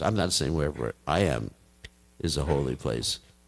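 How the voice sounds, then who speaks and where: A man speaks at a moderate pace, his voice showing vocal fry. The recording is very clean, with a silent background. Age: 70s. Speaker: Hare Krishna monk and spiritual teacher. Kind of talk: religious talk to devotees.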